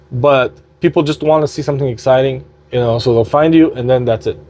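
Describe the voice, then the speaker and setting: A man with a non-native accent and fairly high pitch, at a moderate pace. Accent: non-native English, sometimes stumbles. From Quebec, Montreal (Armenian family). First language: Armenian. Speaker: slot gaming youtuber. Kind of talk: casual vlog update. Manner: loud; halting, many fillers.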